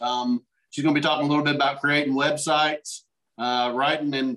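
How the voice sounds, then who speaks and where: A man talks at a fairly quick pace in a flat monotone against a quiet background. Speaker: meeting host. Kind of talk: meeting announcements. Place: home room. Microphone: video call.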